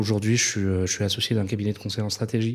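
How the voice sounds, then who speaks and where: This is a man with a fairly low pitch. His intonation stays fairly even. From Madagascar. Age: 30s. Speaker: business strategy consultant. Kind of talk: interview conversation. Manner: halting, many repetitions and fillers.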